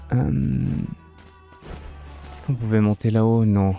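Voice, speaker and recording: Quiet music plays in the background as a man speaks at a fairly low pitch. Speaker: streamer. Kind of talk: gameplay live commentary. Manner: speaking quietly.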